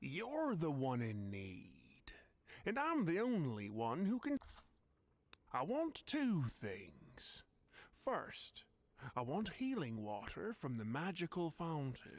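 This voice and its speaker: A put-on character voice in a smug tone, very slow, with very wide pitch swings and long, frequent pauses. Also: man, fairly high pitch for a man. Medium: video game. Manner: smug, whimsical.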